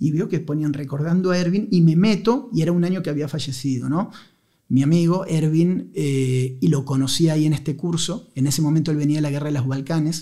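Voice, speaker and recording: Over a quiet background, a man with a dark, mellow tone and a fairly high pitch talks at a fairly quick pace with ordinary pitch variation. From Argentina, Buenos Aires. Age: 40s. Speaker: journalist and war correspondent; journalist, war correspondent. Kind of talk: casual chat. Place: studio. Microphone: studio mic.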